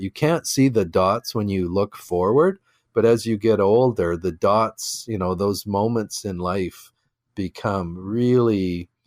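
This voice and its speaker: A man with a Canadian accent and a plain, everyday voice, fairly low in pitch with ordinary pitch variation, at a fairly slow pace, in a very clean recording with a silent background and a dry, close sound with no echo. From Canadian prairies (Regina, Saskatchewan). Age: 60s. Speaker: entrepreneur. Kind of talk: podcast interview. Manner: conversational, frequent fillers and repetitions.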